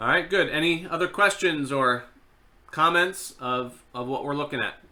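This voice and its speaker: Using an unremarkable speaking voice, a man talks at a moderate pace with a fairly high pitch and ordinary pitch variation. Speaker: seminary lecturer. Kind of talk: online class lecture. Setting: online live video class. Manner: conversational, filler words.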